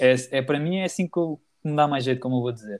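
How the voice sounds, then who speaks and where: A man speaks in an ordinary speaking voice with a fairly high pitch. The recording is very clean, with a silent background. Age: 20s. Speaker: comedian. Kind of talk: casual chat.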